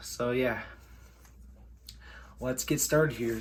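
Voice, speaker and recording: At a very slow pace, a man with a medium pitch speaks amid audible room echo. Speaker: YouTuber. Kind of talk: casual vlog talk.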